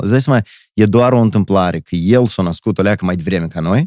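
A man with a Moldovan accent, fairly low pitch and ordinary pitch variation, at a fairly quick pace, in a dry, close sound with no echo on a very clean recording with a silent background. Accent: Moldovan Romanian. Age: 30s. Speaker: performer and entertainer. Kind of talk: casual chat.

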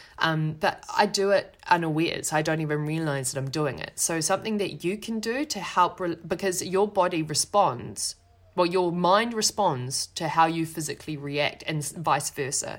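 On a very clean recording with a silent background, a woman with a fairly low pitch talks at a moderate pace with hardly any pauses. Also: ordinary pitch variation. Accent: New Zealand. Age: 30s. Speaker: podcast host, actress and performer. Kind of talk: casual solo talk.

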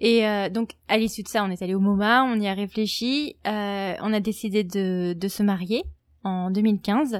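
Speaking at a fairly slow pace, a woman with a medium pitch keeps her intonation fairly even on a very clean recording with a silent background. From France. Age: 30s. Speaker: French expatriate in the US. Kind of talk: testimony.

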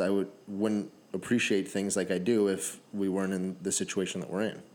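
An unremarkable speaking voice, this man talks with a Canadian accent at a fairly quick pace and fairly low pitch. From Canada (Sarnia, Ontario), Native. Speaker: podcast host. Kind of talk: casual chat.

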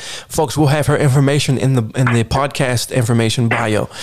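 In an American accent, this is an unremarkable speaking voice with fairly even intonation. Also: man. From Baltimore, Maryland. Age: 30s. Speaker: podcast host. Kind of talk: casual interview.

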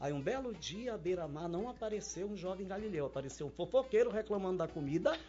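A man's high voice at a very fast pace, with lively intonation and hardly any pauses. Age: 60s. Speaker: cooking instructor. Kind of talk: casual chat.

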